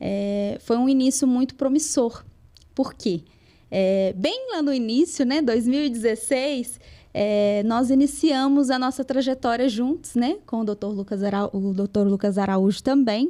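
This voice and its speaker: A woman with a strong Minas Gerais accent speaks fairly slowly at a high pitch, with a dark, mellow tone and ordinary pitch variation. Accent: strong interior Minas Gerais. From Minas Gerais interior, Brazil (Lagoa da Prata). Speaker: lawyer. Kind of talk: podcast interview.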